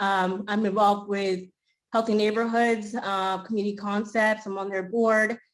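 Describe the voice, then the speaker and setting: Delivered at a fairly quick pace in a Spanish accent, the speech has a monotone, flat intonation. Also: woman. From Maine. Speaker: school committee candidate. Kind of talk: candidate forum statement.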